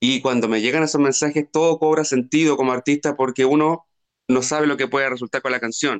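The speaker has a Chilean accent and talks at a fairly quick pace with fairly even intonation. The background is quiet. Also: man, fairly high pitch for a man. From Chile, outside Santiago. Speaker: singer-songwriter. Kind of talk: interview.

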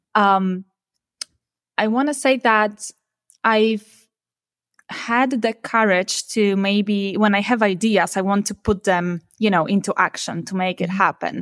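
A woman with a Polish accent, medium pitch and a very slow pace, long, frequent pauses, in a dry, close sound with no echo. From Poland. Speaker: startup founder and content strategist. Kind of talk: casual interview.

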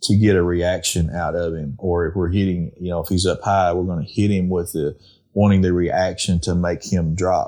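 A man with an Arkansas accent, very deep and low in pitch, dark and mellow in tone, fairly even in intonation, at a moderate pace over a quiet background. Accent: southern US (Arkansas). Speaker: duck calling champion and call maker. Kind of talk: casual interview.

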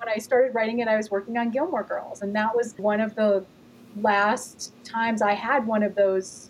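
Against noticeable background noise, a woman with an American accent speaks at a moderate pace and a fairly high pitch. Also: fairly even intonation. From US Midwest (Gary, Indiana). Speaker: author and TV writer. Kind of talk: casual chat.

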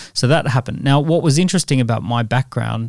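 A man talks at a very fast pace with an Australian accent and ordinary pitch variation. The recording is very clean, with a silent background. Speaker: entrepreneur and author. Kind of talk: interview.

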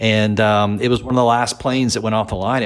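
Fairly low in pitch and fairly even in intonation, this man has an unremarkable speaking voice. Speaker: podcast co-host. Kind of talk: casual chat.

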